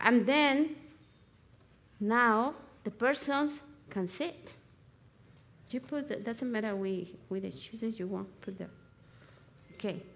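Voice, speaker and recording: In a Spanish accent, a woman speaks at a very slow pace and a fairly high pitch, with lively intonation and long, frequent pauses. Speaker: natural remedies instructor. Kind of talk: live demonstration. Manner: halting.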